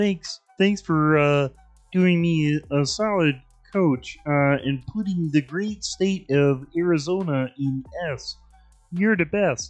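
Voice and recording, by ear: Put-on character voice, nasal and middle-pitched, at a fairly slow pace over music in the background.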